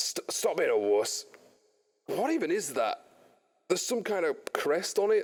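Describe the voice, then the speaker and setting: A man's gruff, put-on character voice at a moderate pace, with long, frequent pauses. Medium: actual play. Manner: gruff, coarse.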